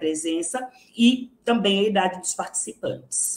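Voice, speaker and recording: A woman with a normal speaking voice, her pitch in the middle range and its variation ordinary. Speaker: psychology researcher. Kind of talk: academic lecture.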